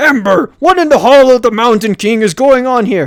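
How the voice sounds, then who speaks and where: A man uses a put-on character voice at an extremely high pitch. He keeps a moderate pace. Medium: game stream. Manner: bellowing.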